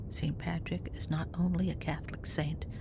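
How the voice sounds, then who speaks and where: Whispered speech comes through noticeable background noise. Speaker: podcast host. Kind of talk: history podcast narration.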